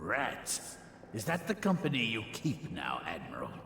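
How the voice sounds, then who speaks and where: A man's put-on character voice, fairly high in pitch at a moderate pace, with slight echo and clear background noise. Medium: video game. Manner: haughty, scornful.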